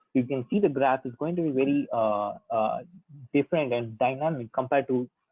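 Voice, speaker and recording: A man talks rather quickly with typical pitch movement while music plays behind him. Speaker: technical consultant giving workshop talk. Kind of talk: lecture. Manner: fast.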